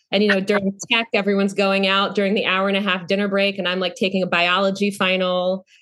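A woman with an American accent talks at a very fast pace with hardly any pauses, her medium-pitched voice bright and sharp, her intonation monotone and flat, her loudness very even, against a quiet background. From North Carolina, US South. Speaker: actor. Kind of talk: casual interview chat.

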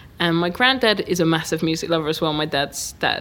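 Moderate pace with a southern English accent. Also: woman. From Hertfordshire, England. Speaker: DJ and music producer. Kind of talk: interview.

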